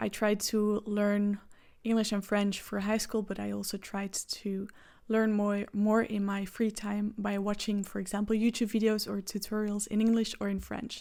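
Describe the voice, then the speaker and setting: Over a silent background in a very clean recording, a woman speaks in a dark, mellow tone at medium pitch with monotone, flat intonation. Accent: Flemish Belgian. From Belgium (Flemish). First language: Dutch. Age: 20s. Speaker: vlogger. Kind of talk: casual vlog talk to camera.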